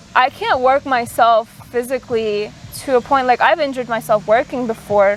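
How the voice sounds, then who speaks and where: A woman talks at a moderate pace with high pitch, ordinary pitch variation and very even loudness, over noticeable background noise. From immigrant to the US, arrived at age ten. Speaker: podcast host. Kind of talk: casual chat. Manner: hesitant, many fillers.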